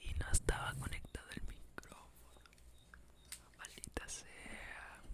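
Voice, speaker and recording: Someone whispers at a very slow pace. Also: man. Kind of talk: ASMR story time. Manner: soft-spoken.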